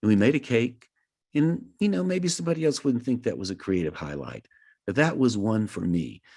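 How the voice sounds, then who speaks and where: Speaking at a fairly quick pace, a man uses very wide pitch swings around a medium pitch. His tone is dark and mellow. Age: 70s. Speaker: creativity workshop facilitator. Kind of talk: online workshop talk. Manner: halting, with many repetitions.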